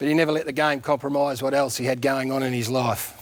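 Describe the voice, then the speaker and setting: A man speaks with an Australian accent at a fairly quick pace. His intonation stays fairly even. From country Victoria, Australia. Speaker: former footballer, TV presenter. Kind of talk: eulogy tribute on TV.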